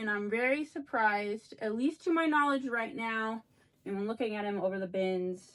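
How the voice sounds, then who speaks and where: A plain, everyday voice from a woman, pitched fairly high, moderately paced, its intonation lively. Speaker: reseller vlogger. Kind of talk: casual vlog talk.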